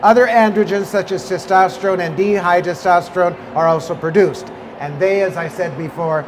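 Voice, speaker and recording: Over noticeable background noise and audible room echo, a man talks at a high pitch. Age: 70s. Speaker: skincare company founder and lecturer. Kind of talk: lecture. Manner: animated.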